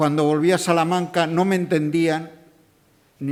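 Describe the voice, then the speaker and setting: A man speaks at a moderate pace. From Extremadura, Spain. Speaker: event presenter. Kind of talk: public talk. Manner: halting, with repetitions.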